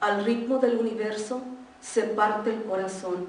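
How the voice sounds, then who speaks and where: Amid noticeable background noise and audible room echo, a woman speaks with a Spanish accent and fairly even intonation. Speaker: poet. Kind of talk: poetry reading; casual introduction.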